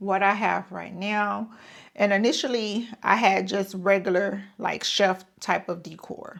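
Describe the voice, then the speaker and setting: In a very clean recording with a silent background, a woman speaks at a very slow pace with fairly even intonation. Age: 50s. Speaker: lifestyle vlogger. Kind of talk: casual talk to camera. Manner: chatty.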